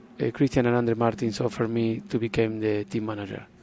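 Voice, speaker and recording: There is noticeable background noise as a man talks at a medium pitch. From Argentina. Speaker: racing team owner. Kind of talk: interview. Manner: halting.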